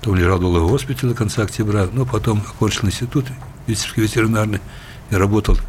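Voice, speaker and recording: A man's fairly low voice with ordinary pitch variation, over noticeable background noise. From southern Belarus (Kalinkovichi). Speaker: ambassador, former vice-premier. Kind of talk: interview. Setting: studio.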